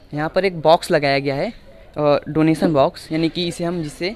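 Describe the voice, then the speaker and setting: This man speaks in a fairly high pitch while noticeable background noise sits behind him. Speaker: reporter. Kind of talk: on-location tour report to camera.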